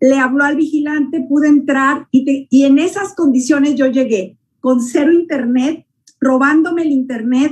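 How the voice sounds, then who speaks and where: With a high pitch and fairly even intonation, a woman speaks at a fairly slow pace. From Mexico, Nayarit. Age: 60s. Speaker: network marketing distributor. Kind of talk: testimony.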